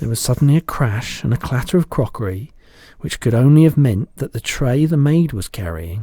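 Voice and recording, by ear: Lively intonation throughout, reading aloud in a natural voice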